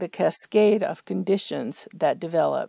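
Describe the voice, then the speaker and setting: With ordinary pitch variation, a woman's voice comes through dark and mellow in tone. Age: 70s. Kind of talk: health commentary to camera.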